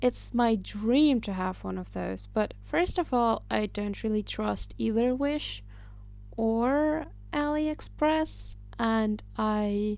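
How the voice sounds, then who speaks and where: Recorded very cleanly against a silent background, a woman speaks at a very slow pace. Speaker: amateur artist. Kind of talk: casual voiceover while drawing. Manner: occasional stutter.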